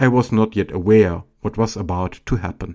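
A man's fairly low voice, dark and mellow, at a moderate pace with ordinary pitch variation over a quiet background. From Germany, Baden-Württemberg (Swabia). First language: German. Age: 40s. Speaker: government commissioner against antisemitism. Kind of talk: scripted monologue.

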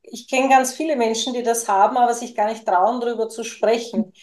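A woman's high pitch with fairly even intonation. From Lower Austria. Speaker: podcast co-host and spiritual coach. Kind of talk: personal storytelling in casual chat.

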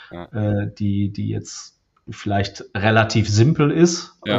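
A man talks in a somewhat breathy voice. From Lower Rhine, Germany (Krefeld). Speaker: software company executive. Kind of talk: interview. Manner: hesitant, many fillers.

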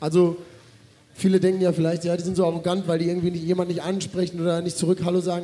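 Very fast speech from a high-pitched man, with noticeable background noise. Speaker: festival MC and social media creator. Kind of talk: live podcast chat on stage. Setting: stage with audience.

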